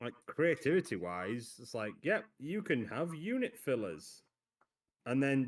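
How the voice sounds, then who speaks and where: In a very clean recording with a silent background, a man with a Yorkshire accent speaks at a fairly high pitch with very wide pitch swings. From Yorkshire, northern England. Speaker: miniature painting hobbyist guest. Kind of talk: casual chat. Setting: live stream.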